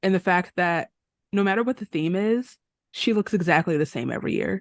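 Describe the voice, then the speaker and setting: Recorded dry and close with no echo against a quiet background, a woman talks fairly quickly at a medium pitch. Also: ordinary pitch variation. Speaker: podcast co-host. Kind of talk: casual chat. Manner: loud. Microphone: too close to the mic, moving back.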